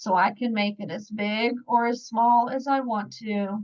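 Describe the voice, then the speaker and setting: Over a quiet background, a woman with an American accent speaks in an ordinary speaking voice, her pitch fairly high and her intonation fairly even. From Virginia, US South. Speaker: scrapbooking product advisor; online scrapbooking demonstrator. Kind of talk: tutorial. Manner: casual, conversational. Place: home room. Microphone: webcam.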